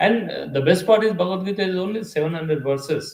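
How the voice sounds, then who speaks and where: The speaker has a Telugu accent. Their intonation is lively. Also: man. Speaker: spiritual teacher. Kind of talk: lecture. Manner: conversational, halting with fillers.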